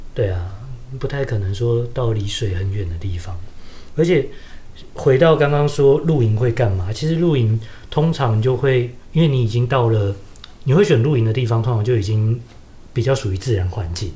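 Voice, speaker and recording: Here a man speaks at a medium pitch in a Taiwanese accent, with lively intonation. Long, frequent pauses break up his speech, and the room echo is audible. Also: moderate pace. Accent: Taiwanese Mandarin. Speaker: podcast co-host. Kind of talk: casual chat.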